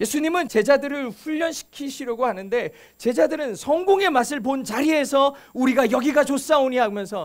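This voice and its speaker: The speaker is a man. His pitch is extremely high. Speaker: pastor. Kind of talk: sermon.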